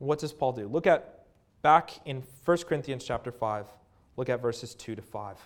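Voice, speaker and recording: In a normal speaking voice with ordinary pitch variation, the speaker goes at a moderate pace on a very clean recording with a silent background. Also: man, medium pitch for a man. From Canada. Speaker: assistant pastor. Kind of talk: sermon. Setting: church.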